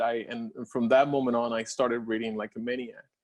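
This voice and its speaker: A man with a Spanish accent at a fairly quick pace. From Puerto Rico. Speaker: scientist and doctoral scholar alumnus. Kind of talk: personal story presentation with slides. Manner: halting, with fillers.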